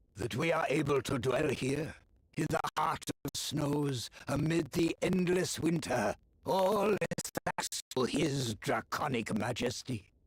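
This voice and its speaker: In a put-on character voice, the speaker moves at a fairly slow pace. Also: man, fairly high pitch for a man. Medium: video game. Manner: solemn, formal, menacing.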